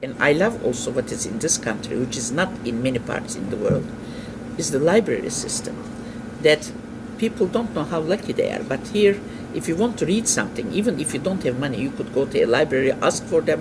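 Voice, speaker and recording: Noticeable background noise underlies a man with a fairly high pitch and very wide pitch swings. He speaks at a fairly quick pace. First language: non-English. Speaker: interviewee, immigrant. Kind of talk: interview.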